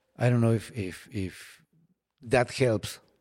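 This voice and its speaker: Medium-pitched male voice, dark and mellow in tone, with a Spanish accent, ordinary pitch variation and a quiet background. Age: 40s. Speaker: falconer. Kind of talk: interview. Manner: halting, many repeated words.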